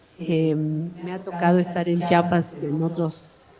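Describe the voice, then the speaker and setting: A woman's fairly low-pitched voice with audible room echo and noticeable background noise. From Argentina. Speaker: professor. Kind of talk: lecture. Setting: university auditorium with audience. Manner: hesitant, many fillers.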